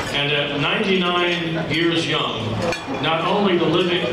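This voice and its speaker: A man talks at a very slow pace. The room echo is audible and background noise is loud. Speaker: banquet announcer. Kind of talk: formal introduction speech. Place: hall.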